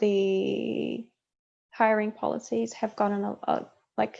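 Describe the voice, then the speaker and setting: A woman with a New Zealand accent. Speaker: game producer. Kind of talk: interview. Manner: hesitant, many fillers.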